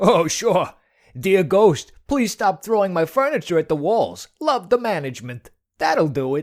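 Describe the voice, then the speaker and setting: This cartoonish character voice sits at a middle pitch and swings very widely up and down. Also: moderate pace. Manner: sarcastic.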